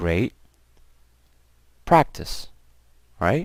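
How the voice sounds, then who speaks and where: Speaking in an American accent, a man lets his pitch vary in an ordinary way. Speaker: English teacher. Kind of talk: lecture.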